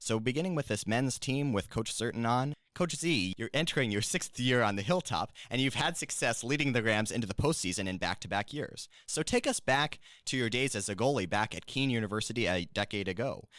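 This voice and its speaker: On a very clean recording with a silent background, a man in a normal speaking voice talks at a fairly quick pace and medium pitch, with lively intonation and hardly any pauses. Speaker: student podcast host. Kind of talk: podcast interview. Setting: studio.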